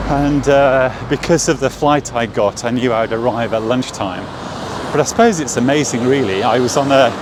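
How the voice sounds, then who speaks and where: Over noticeable background noise, a man at medium pitch talks with very even loudness and fairly even intonation. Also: moderate pace. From England. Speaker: watch vlogger. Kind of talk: walking vlog. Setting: outdoors on city street. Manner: halting, many fillers.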